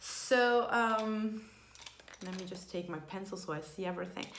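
Light background noise and audible room echo surround a woman speaking at a moderate pace with ordinary pitch variation. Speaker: beauty vlogger. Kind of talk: casual makeup tutorial chat. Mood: cheerful, laughing. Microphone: phone near.

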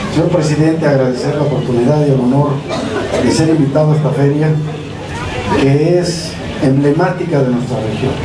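Long, frequent pauses break up a man's speech over noticeable background noise. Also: fairly quick pace. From Mexico, Oaxaca (Loma Bonita). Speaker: state government official. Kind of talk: official ceremony speech. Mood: grateful, proud. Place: street.

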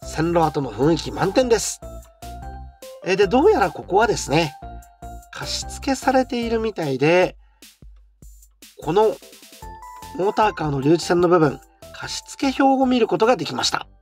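The speaker moves at a moderate pace while music plays in the background. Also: long, frequent pauses. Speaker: rental model railway layout shop host. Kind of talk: walking tour narration.

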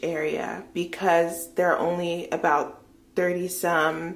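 A woman's fairly low voice with vocal fry. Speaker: travel vlogger. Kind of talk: casual vlog chat. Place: bathroom. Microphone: phone near.

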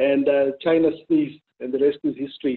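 Against a quiet background, a man speaks in a flat monotone at a fairly high pitch. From Zimbabwe. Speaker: consulting firm director; webinar panelist. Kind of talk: panel discussion. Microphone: webcam.

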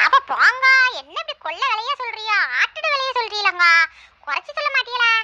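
In a squeaky, cartoonish character voice at an extremely high pitch, a woman swings widely in loudness, recorded with a dry, close sound and no echo. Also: moderate pace, lively intonation. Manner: chatty, bossy.

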